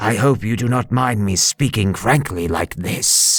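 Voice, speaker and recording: A man growls in a put-on character voice at a medium pitch. He keeps a moderate pace, with faint music in the background. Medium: read story. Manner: formal, courteous.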